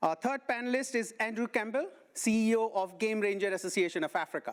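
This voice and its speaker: Delivered at a very fast pace in an Indian accent, the recording is very clean with a silent background. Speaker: panel moderator. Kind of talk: panel introductions.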